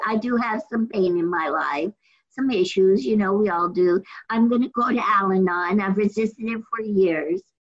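Here is a woman with an ordinary speaking voice at a medium pitch. She moves at a fairly slow pace with ordinary pitch variation. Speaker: meeting participant. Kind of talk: casual sharing.

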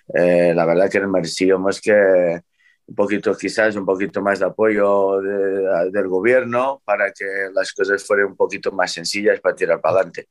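A man with a fairly low pitch talks at a moderate pace in monotone, flat intonation, his voice dry and close with no echo against a quiet background. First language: Portuguese (speaking Spanish). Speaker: racehorse trainer. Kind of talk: casual chat.

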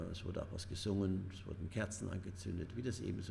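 The speaker goes at a very fast pace in a monotone, flat intonation. Audible room echo surrounds the voice. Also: man. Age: 70s. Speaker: retired headteacher, charity chairman. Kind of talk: interview. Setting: room above a train station.

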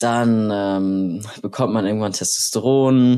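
This man's voice sits fairly low in pitch. He keeps his intonation fairly even. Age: 20s. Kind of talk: casual interview. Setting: video call. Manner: halting, many fillers.

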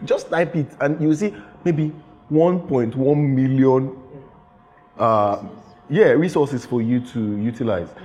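Against noticeable background noise, a man with a fairly high pitch and lively intonation talks very slowly, with long, frequent pauses. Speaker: creative director. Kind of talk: casual chat. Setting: studio.

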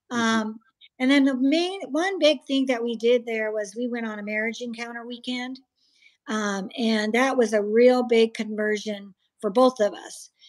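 In an ordinary speaking voice, a woman talks at a moderate pace and fairly high pitch, with big swings in loudness. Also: ordinary pitch variation. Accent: American. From US Midwest (Iowa). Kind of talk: testimony.

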